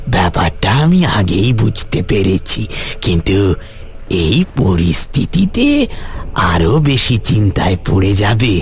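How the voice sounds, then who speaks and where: A cartoonish character voice from a man, fairly low in pitch and very slow, with clear background noise. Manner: calm, gentle, fatherly.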